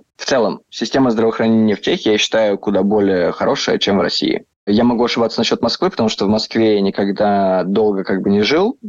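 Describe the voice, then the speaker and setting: The speech moves at a very fast pace with fairly even intonation and very even loudness. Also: man, fairly low pitch for a man. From southern Russia, Rostov. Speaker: entrepreneur, emigrant. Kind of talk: casual interview.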